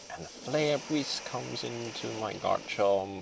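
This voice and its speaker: With music in the background, a man speaks at a very slow pace, his pitch swinging very widely. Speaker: competitive video game player. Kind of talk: gameplay commentary.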